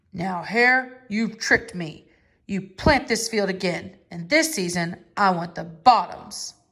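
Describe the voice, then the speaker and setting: A woman speaks at a fairly slow pace in a put-on character voice with a medium pitch. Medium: read story. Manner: slow, drowsy.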